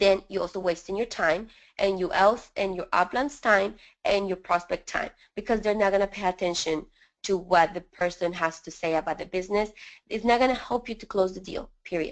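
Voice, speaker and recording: A woman with a strong Spanish accent talks at a fairly quick pace, her loudness rising and falling sharply. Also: medium pitch for a woman, ordinary pitch variation, quiet background. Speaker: network marketing leader. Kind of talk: webinar interview. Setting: live webinar call.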